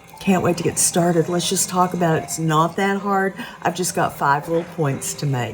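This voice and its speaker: Noticeable background noise sits behind a woman with an American accent. Her voice has a warm tone and a fairly low pitch. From Oklahoma. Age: 70s. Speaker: podcast host, cannabis educator. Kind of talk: casual educational talk. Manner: warm, folksy.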